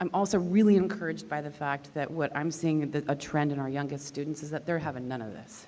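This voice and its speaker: Amid noticeable background noise, a woman with a very deep, low pitch talks at a fairly quick pace. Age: 40s. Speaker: composer and professor. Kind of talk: panel discussion. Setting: stage with audience.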